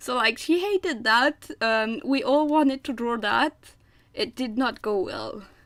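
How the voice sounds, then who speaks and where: With lively intonation, a woman speaks at a fairly slow pace in a high pitch. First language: French. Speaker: artist streaming drawing. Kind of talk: casual live-stream chat while drawing. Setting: live stream. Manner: hesitant, many fillers and repeats.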